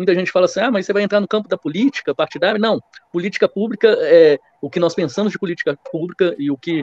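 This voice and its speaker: A speaker with a Minas Gerais accent uses ordinary pitch variation, recorded with a dry, close sound and no echo. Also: man. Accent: Minas Gerais Brazilian Portuguese. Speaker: lawyer. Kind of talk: podcast debate opinion.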